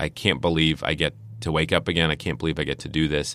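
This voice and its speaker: This man talks very fast in a very deep, low voice. Vocal fry shows up in his speech. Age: 30s. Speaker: wellness center director for veterans. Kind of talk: interview.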